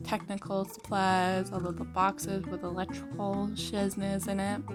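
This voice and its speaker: A woman's medium-pitched voice at a fairly slow pace, with ordinary pitch variation and music in the background. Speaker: gaming YouTuber. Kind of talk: casual gaming commentary.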